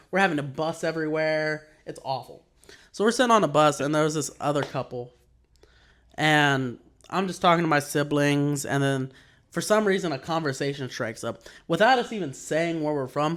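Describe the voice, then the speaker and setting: This man talks in a Texas accent at a moderate pace. His pitch is fairly high. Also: ordinary pitch variation. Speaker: podcast co-host. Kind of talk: casual chat. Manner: animated.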